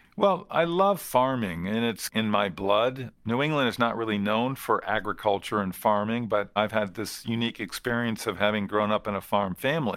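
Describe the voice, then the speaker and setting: With an American accent, a man in an ordinary speaking voice talks at a moderate pace, fairly low in pitch, with ordinary pitch variation and hardly any pauses. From US Northeast, eastern Connecticut. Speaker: farming company founder. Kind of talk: interview.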